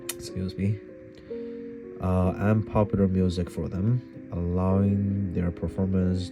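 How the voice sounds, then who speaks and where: A man with a non-native accent speaks at a very slow pace in a very deep, low pitch. Music plays in the background. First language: not English. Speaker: piano hobbyist. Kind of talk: book reading aloud. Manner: halting, awkward.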